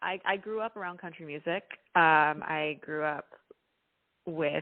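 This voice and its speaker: A woman speaks at a fairly low pitch with fairly even intonation. Her pauses are long and frequent. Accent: slight Texan. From Texas, Dallas. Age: 20s. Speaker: singer-songwriter. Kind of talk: interview. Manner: casual, with fillers.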